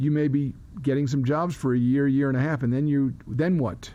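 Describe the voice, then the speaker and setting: A man speaks at a moderate pace with a fairly high pitch, a dark, mellow tone, ordinary pitch variation and very even loudness. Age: 60s. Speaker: fiddler and poet. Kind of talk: interview. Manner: halting.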